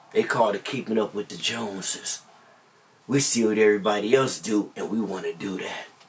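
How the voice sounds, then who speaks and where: Noticeable background noise runs behind a man talking at a fairly quick pace. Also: fairly low pitch for a man. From Compton, Southern California. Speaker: vlogger, former gang member. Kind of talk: personal storytelling monologue. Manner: animated.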